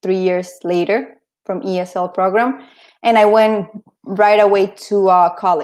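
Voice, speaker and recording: With a Spanish accent, a woman of medium pitch speaks at a fairly slow pace. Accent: Spanish-accented English, noticeable. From Colombia. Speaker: interview guest. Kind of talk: casual interview. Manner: halting.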